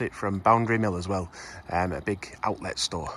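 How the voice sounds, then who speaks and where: In a relaxed tone, a man talks at a fairly quick pace with fairly even intonation. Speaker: travel vlogger. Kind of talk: casual talk to camera. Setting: outdoors. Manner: relaxed, hesitant with fillers.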